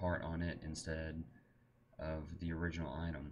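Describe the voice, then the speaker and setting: This man talks in a very deep, low register. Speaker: gaming tutorial maker. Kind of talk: screen-recorded tutorial. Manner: monotone.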